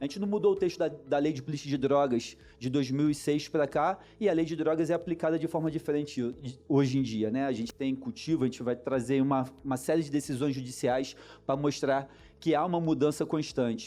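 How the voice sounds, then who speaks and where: A man with a Rio de Janeiro accent, a dark, mellow tone and fairly high pitch, at a fairly quick pace with ordinary pitch variation. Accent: carioca (Rio de Janeiro). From Niterói, Rio de Janeiro, Brazil. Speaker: lawyer. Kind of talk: conference talk.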